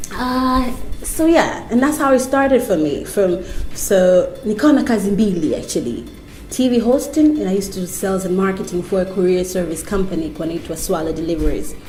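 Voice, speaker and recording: Loud and fairly quick, a woman with a medium pitch swings very widely in pitch, with noticeable background noise and audible room echo. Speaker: TV host. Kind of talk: interview. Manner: loud, vibrant.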